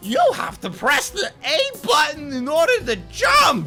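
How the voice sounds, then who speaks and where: A high-pitched, put-on character voice moves at a fairly slow pace. Faint music plays in the background. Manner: exaggerated, cartoonish.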